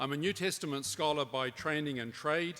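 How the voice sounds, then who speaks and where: In a very clean recording with a silent background, a man with a New Zealand accent talks at a fairly quick pace, his fairly high pitch and bright, sharp tone moving with ordinary pitch variation. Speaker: professor. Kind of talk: conference talk. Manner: formal.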